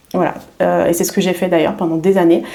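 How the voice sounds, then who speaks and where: There is noticeable background noise behind a woman's voice. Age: 30s. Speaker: wellness coach. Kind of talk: podcast interview. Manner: hesitant, many fillers.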